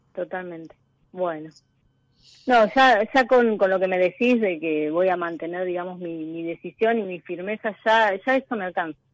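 A woman with a plain, everyday voice speaks at a medium pitch with ordinary pitch variation, in a dry, close sound with no echo over a quiet background. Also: moderate pace. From Argentina, southwest Buenos Aires province. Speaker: economics teacher, caller. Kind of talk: personal testimony on a call-in show.

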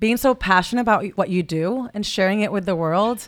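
Her tone animated, a woman speaks at a fairly high pitch with ordinary pitch variation. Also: very clean recording, silent background. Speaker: podcast host. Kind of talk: casual interview. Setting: stage with audience.

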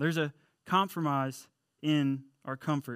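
A man speaks with fairly high pitch. The recording is very clean, with a silent background. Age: 30s. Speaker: church youth director preaching. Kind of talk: sermon. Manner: animated.

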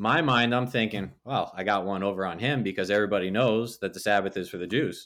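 In a very clean recording with a silent background, a man talks at a very fast pace. His pitch is fairly low, with ordinary variation. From New Jersey. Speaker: pastor. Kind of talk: testimony.

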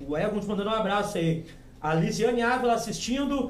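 Noticeable background noise and audible room echo around a man talking at a fairly quick pace. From Rio Grande do Sul, Alvorada. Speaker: podcast host. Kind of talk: casual chat. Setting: studio.

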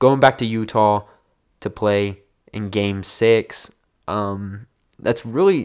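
A man with a fairly low voice is heard in a very clean recording with a silent background. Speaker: basketball podcast host. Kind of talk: casual solo podcast talk. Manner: casual, filler-heavy.

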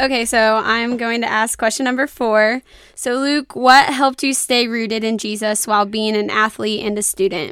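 Using a normal speaking voice, a woman talks at a moderate pace and a fairly high pitch, with fairly even intonation and hardly any pauses. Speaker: podcast co-host. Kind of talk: casual chat.

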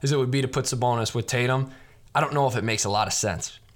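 A man speaks at a medium pitch. He has an American accent. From Chicago, US Midwest. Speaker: sports podcast host. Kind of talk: game show host bit, mock Price Is Right style bidding. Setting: radio channel show. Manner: animated, playful, showman-like.

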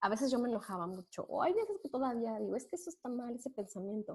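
Her voice high and her tone dark and mellow, a woman speaks at a fairly quick pace with lively intonation. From Mexico, Puebla. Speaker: accountant. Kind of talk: interview.

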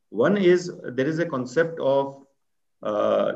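With lively intonation, a man speaks at a fairly high pitch. His voice has vocal fry, and the room echo is audible. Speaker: retired army officer and business school director. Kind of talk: interview.

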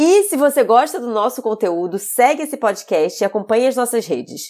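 Her pitch swings very widely. The woman keeps to a moderate pace. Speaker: podcast host and chef. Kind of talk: podcast intro; interview conversation.

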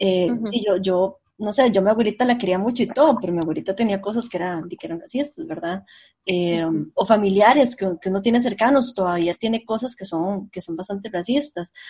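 A woman talks at a fairly quick pace in a dark, mellow tone. Her voice is somewhat breathy. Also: medium pitch for a woman, ordinary pitch variation. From Costa Rica, central San José. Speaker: podcast co-host. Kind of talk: casual chat.

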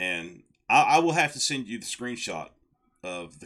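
A man's voice has a bright, sharp tone. His pitch swings very widely. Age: 40s. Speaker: wrestling podcast co-host. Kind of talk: casual chat. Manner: halting, repeats words.

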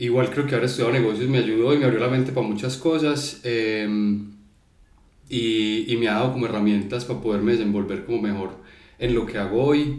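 Audible room echo surrounds a voice that moves at a fairly quick pace with fairly even intonation. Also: man, medium pitch for a man. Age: 30s. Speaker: creative agency founder. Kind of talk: casual chat. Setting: studio.

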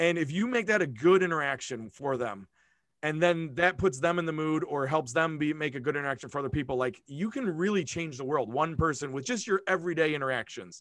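With an unremarkable speaking voice, a man speaks at a fairly quick pace and fairly high pitch with lively intonation against a quiet background. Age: 40s. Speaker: school principal. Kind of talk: casual interview chat.

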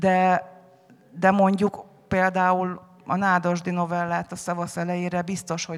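This woman's fairly low voice moves at a very slow pace. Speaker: anthology editor. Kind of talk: panel discussion on stage. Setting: festival stage with audience.

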